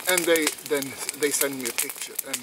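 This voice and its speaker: In a Swedish accent, a man with a fairly high pitch speaks in a monotone, flat way at a moderate pace, with noticeable background noise. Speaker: outdoor vlogger. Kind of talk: casual vlog talk. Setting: outdoors. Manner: halting.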